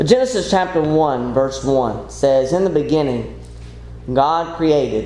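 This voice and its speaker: This is a man talking. Clearly audible background noise accompanies his voice. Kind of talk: sermon. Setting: church.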